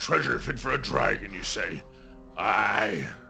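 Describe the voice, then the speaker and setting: Over clear music in the background, a man does a raspy, put-on character voice at a fairly slow pace. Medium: actual play. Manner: gruff, simple.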